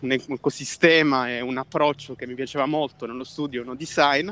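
A man with a fairly high voice speaks at a fairly quick clip. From southern Italy, Basilicata. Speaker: filmmaker and photographer. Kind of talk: interview. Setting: outdoors, walking in a park.

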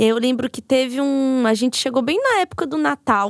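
A woman's high-pitched voice at a fairly slow pace, ordinary in pitch variation, with a dry, close sound and no echo. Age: 30s. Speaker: podcaster and psychology student. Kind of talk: casual chat.

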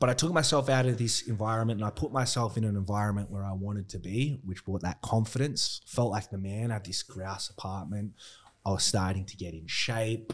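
This man has a fairly low voice and an Australian accent, speaking at a fairly quick pace with ordinary pitch variation. The recording is very clean, with a silent background. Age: 30s. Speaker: gym owner. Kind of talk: casual interview chat.

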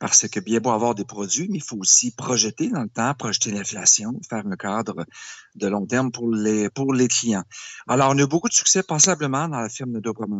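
The man's pitch is medium and varies normally, and he speaks neither fast nor slow. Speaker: portfolio manager. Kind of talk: interview. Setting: Skype call. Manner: passionate.

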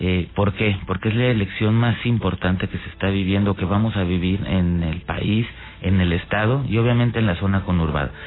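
An ordinary speaking voice at a moderate pace. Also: man, fairly low pitch for a man, ordinary pitch variation. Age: 40s. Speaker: political candidate. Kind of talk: radio interview. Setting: radio studio.

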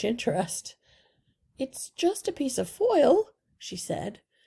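Her tone is gentle and warm, a woman's voice that is somewhat breathy. She uses very wide pitch swings. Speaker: audiobook reader. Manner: clear, measured, and deliberate.

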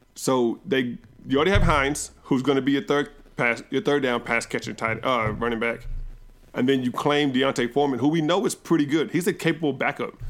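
This man has an unremarkable speaking voice, fairly high in pitch, with ordinary pitch variation and very even loudness. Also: fairly quick pace. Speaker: podcast host. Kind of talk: casual banter about fantasy football.

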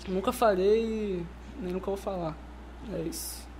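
The delivery moves at a moderate speed, and the pitch rises and falls in an ordinary way. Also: man. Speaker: rapper and music producer. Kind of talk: casual chat.

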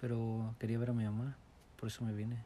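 A man's dark, mellow voice at a fairly quick pace. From Morelos, Mexico. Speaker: immigrant interviewee. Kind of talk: interview. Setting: at home.

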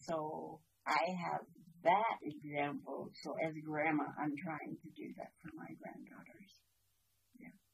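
Her loudness swinging widely, a woman talks at a fairly slow pace with long, frequent pauses. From British Columbia, Canada. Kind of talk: elder life story, reflective storytelling with personal anecdotes and advice. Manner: calm, unhurried, warm storyteller.

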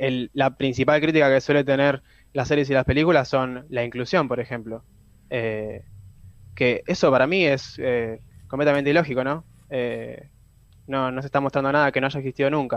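An unremarkable speaking voice from a man, medium in pitch, at a moderate pace with fairly even intonation. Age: young. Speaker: film and series columnist. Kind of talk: radio column.

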